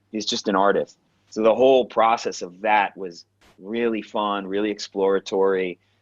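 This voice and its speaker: An unremarkable speaking voice from a man with an American accent, fairly low in pitch, fairly even in intonation and moderate in pace, dry and close with no echo over a quiet background. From New York, Queens. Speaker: actor and acting coach. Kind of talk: interview storytelling. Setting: podcast interview. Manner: casual, with frequent fillers and restarts.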